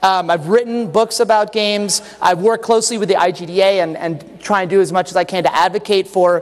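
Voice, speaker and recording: A loud, high-pitched man talking very fast with fairly even intonation over noticeable background noise. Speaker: game designer and conference speaker. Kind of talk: conference talk. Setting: stage with audience. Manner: halting, many fillers and restarts. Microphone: echo in the room.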